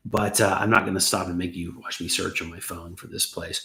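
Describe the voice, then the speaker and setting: The speaker talks at a fairly quick pace with a bright, sharp tone. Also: man. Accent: American. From US South, Atlanta. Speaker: YouTube host, expat creator. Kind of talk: livestream chat answering viewer questions. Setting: home kitchen, livestream.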